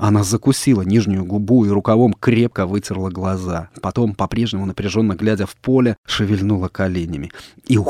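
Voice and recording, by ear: A text read aloud in a natural voice.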